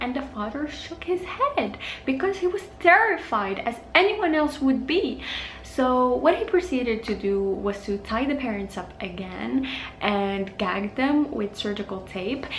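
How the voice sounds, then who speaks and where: A woman with a high-pitched voice speaks at a fairly slow pace, her pitch swinging very widely. The room echo is audible, along with light background noise. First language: not English. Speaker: true crime YouTuber. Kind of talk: casual true crime storytelling to camera. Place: home room.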